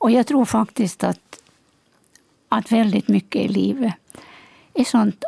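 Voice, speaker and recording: Recorded dry and close with no echo, a woman with fairly high pitch, a dark, mellow tone, and vocal fry speaks at a fairly slow pace. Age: 70s. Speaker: author. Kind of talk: radio panel discussion. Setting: studio.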